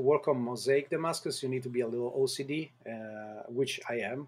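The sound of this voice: Speaking at a fairly quick pace, a man has medium pitch, ordinary pitch variation, a slightly mellow tone and a slightly husky edge.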